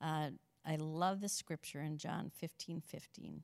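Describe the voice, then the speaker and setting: A woman with an American accent, very deep and low in pitch, at a moderate pace and fairly even intonation, in a very clean recording with a silent background and a dry, close sound with no echo. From Minnesota, Saint Cloud area. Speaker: church member. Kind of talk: testimony. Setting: studio.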